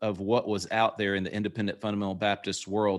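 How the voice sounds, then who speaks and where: Speaking with a Southern US accent, a man uses a fairly low pitch in a very clean recording with a silent background. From US South. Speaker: pastor and podcast co-host. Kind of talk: casual interview.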